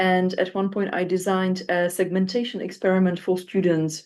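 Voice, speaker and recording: A woman with a Czech accent and a medium pitch speaks at a fairly quick pace against a quiet background. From Czech Republic. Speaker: phonetics researcher and moderator. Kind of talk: panel discussion. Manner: hesitant, many fillers.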